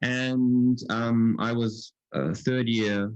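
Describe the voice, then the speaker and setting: A man's fairly low voice with an Australian accent. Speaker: physics professor. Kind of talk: lecture. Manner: halting, many fillers.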